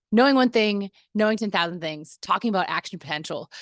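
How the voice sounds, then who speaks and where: A woman at medium pitch and a moderate pace, with ordinary pitch variation, in a dry, close sound with no echo against a quiet background. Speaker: personal trainer. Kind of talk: casual video tutorial.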